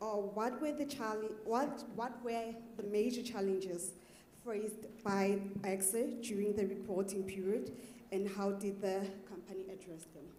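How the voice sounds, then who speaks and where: A woman speaks at a moderate pace and medium pitch, with ordinary pitch variation, audible room echo and noticeable background noise. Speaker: audience member asking a question. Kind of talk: audience question. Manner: soft-spoken.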